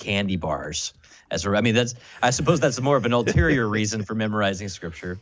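A man's fairly low voice with an American accent, an ordinary speaking voice at a fairly quick pace with ordinary pitch variation. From US. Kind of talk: casual conversation.

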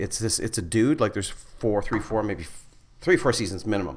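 With a Canadian accent, a man talks at a fairly quick pace in an ordinary speaking voice of medium pitch, with lively intonation. The recording is very clean and the background silent. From northern Manitoba, Canada. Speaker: stand-up comedian and school teacher. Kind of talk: casual chat.

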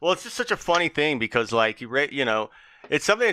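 A man's bright, sharp tone in a dry, close sound with no echo and a quiet background. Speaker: podcast co-host. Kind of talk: casual banter.

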